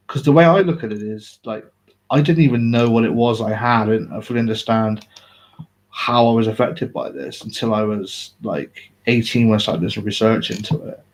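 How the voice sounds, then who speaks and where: The speaker is a man with an English accent. He talks at a medium pitch and a fairly quick pace. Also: ordinary pitch variation. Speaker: vlogger. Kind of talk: personal live video talk. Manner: mumbling, halting; uneven volume, sometimes loud.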